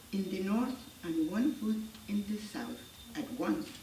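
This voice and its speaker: A woman with a Spanish accent speaks at a fairly slow pace in a fairly high voice with lively intonation. Audible room echo and noticeable background noise surround her. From Ecuador. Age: 70s. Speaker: English language student. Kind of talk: reading aloud. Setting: stage with audience.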